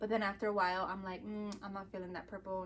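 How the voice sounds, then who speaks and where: A woman is speaking. She has a Chicago accent. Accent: Chicago American English. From Chicago, US Midwest. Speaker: vlogger. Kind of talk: casual chat.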